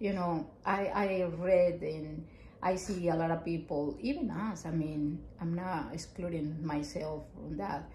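A woman with a strong Mexican accent speaks fairly slowly at a fairly low pitch. Light background noise and audible room echo are present. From Mexico. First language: Spanish. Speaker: family counselor. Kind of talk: casual chat. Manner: halting. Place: home room.

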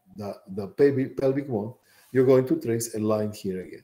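The man's voice carries a dark, mellow tone. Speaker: college bioscience instructor. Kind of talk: lecture. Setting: classroom. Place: home room. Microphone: webcam.

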